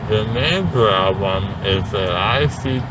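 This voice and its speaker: Loud background noise fills the clip. A man speaks at a very slow pace. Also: dry sound with no echo. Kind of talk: casual vlog chat. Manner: slurred, dazed post-anesthesia speech. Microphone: phone near.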